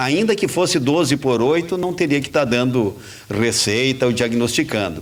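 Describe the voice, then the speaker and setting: The speech goes at a moderate pace. Noticeable background noise can be heard. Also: man. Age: 70s. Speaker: radio host. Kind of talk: talk radio commentary. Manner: halting.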